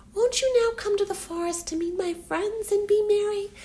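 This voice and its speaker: A woman uses a put-on character voice. It is pitched extremely high. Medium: read story.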